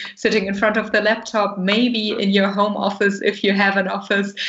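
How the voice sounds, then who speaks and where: Speaking at medium pitch, a woman keeps a moderate pace. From Germany. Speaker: professional moderator. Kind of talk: panel moderation.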